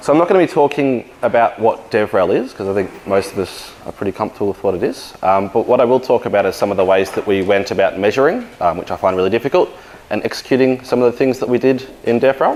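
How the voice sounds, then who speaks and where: A man with an Australian accent at a medium pitch, speaking at a very fast pace with ordinary pitch variation amid noticeable background noise. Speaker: engineering manager and conference speaker. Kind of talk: conference talk.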